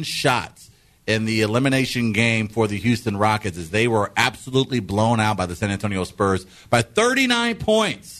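A man speaks at a moderate pace with a medium pitch. It is an ordinary speaking voice. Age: 30s. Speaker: radio host. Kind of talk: morning radio banter. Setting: radio studio.

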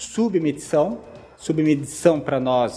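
Against noticeable background noise, a man speaks very slowly at a fairly high pitch with lively intonation. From Brazil, Santa Catarina (Joinville). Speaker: tech company CEO. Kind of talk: interview.

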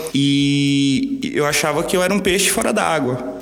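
Noticeable background noise and audible echo from the room accompany this man's voice. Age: 30s. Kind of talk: podcast interview.

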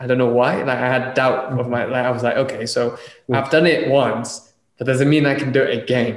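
A man speaks very fast at a medium pitch in a flat monotone. Room echo is audible. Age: 20s. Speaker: podcast host. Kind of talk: casual chat.

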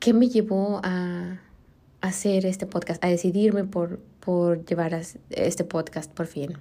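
In a Mexican accent, a woman speaks at a very slow pace with a dark, mellow tone and fairly even intonation, recorded very cleanly over a silent background. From Mexico. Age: 30s. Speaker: podcast host. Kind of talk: casual monologue. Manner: halting, many fillers.

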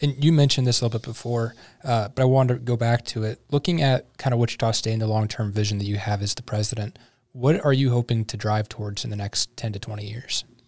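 Talking very fast in an American accent, a man at medium pitch sounds somewhat breathy, with fairly even intonation, a dry, close sound with no echo, and a very clean recording with a silent background. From US Midwest, St. Louis. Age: 20s. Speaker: podcast host. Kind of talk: interview. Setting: studio.

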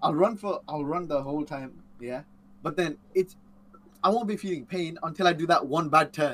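A man speaks at a moderate pace in a plain, everyday voice, his pitch fairly high and his pitch variation ordinary. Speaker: co-host. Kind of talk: casual chat.

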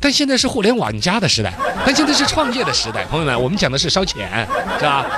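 A man's raised, projected voice in a Sichuan accent, high-pitched, very fast, with very wide pitch swings, crowd noise behind and audible room echo. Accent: Sichuan Mandarin. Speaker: radio host. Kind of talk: casual monologue. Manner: animated.

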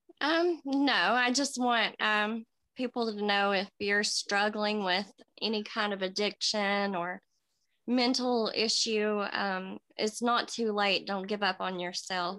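At a very slow pace, a woman with an Appalachian accent speaks at a medium pitch in a bright, sharp tone with ordinary pitch variation, in a very clean recording with a silent background. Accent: US Southern (Appalachian). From Tennessee. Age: 30s. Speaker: recovering addict and mother. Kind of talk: interview. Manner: halting, with many fillers.

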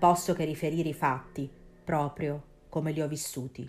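A woman with a very deep, low pitch speaks in a dramatic tone with monotone, flat intonation. Music plays in the background. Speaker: podcast host. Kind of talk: scripted ghost story narration, spooky and hushed. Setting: studio. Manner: slow, suspenseful, dramatic.

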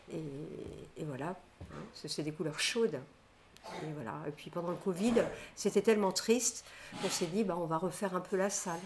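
This woman has a fairly low pitch and ordinary pitch variation. She talks at a moderate pace, with long, frequent pauses. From France, Nantes. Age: 60s. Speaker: restaurant owner. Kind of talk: casual interview. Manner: hesitant, many fillers.

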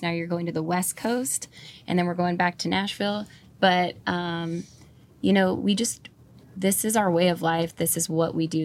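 In an American accent, a woman with a plain, everyday voice talks at a moderate pace in a fairly low pitch with fairly even intonation, on a very clean recording with a silent background. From northern California. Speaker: country musician and tattoo artist. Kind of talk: casual chat. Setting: in a van.

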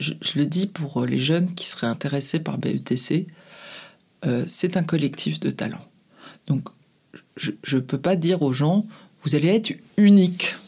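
A woman with a very deep, low pitch and vocal fry speaks at a fairly slow pace, leaving long, frequent pauses. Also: ordinary pitch variation. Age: 50s. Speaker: advertising agency head. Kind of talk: interview. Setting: studio. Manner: halting.

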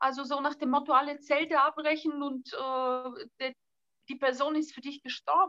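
In a Bulgarian accent, a woman speaks in a raised, projected voice with a bright, sharp tone and high pitch. Her loudness swings widely, and the sound is dry and close with no echo. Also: ordinary pitch variation, moderate pace. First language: Bulgarian (speaking German). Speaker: author and fashion designer. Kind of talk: casual interview chat. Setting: video call from an island.

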